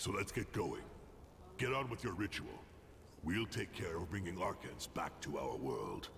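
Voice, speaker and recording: A man's put-on character voice, fairly low in pitch, at a moderate pace with long, frequent pauses over clear background noise. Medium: video game. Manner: gruff, terse.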